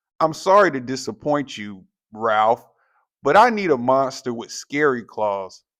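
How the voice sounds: Heard against a quiet background, this is a natural reading voice.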